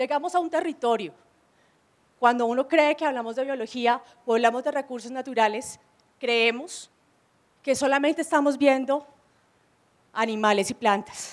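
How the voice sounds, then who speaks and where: Speaking at a moderate pace with long, frequent pauses, a woman uses a high voice with ordinary pitch variation. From Colombia, Armenia; Colombia. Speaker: biologist; panelist. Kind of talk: presentation. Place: hall. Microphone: handheld.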